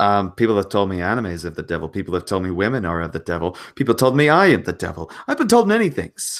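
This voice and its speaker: On a very clean recording with a silent background, a man talks with an American accent. His voice is fairly low in pitch, with lively intonation and a fairly quick pace. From United States. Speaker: channel host. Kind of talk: casual chat.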